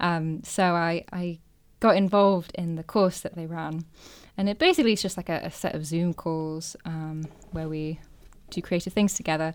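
In a Yorkshire accent, a woman with a fairly low pitch speaks at a moderate pace with fairly even intonation, on a very clean recording with a silent background. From northern England, Filey, North Yorkshire. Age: 20s. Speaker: poet and writer. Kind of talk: casual interview chat.

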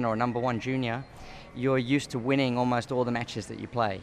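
A man with an Australian accent speaks at a very fast pace. His medium pitch stays monotone and flat. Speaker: tennis coach. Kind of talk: casual interview. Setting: hotel.

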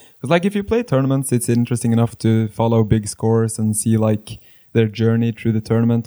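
Male voice with a Norwegian accent, medium pitch and a dark, mellow tone at a fairly quick pace, dry and close with no echo, in a very clean recording with a silent background. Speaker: poker ambassador. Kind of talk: casual interview.

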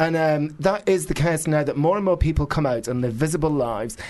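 A man with a northern English accent speaks at a fairly quick pace. His pitch is fairly high, with ordinary variation. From northern England. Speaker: author and media figure. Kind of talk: casual interview chat. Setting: studio. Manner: animated, ranting.

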